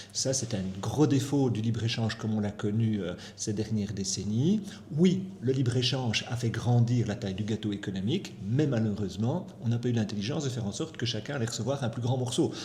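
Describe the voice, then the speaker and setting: A man's somewhat breathy voice at a medium pitch, fairly quick pace and ordinary pitch variation, with audible room echo. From Belgium, Brussels. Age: 60s. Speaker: economist. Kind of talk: interview.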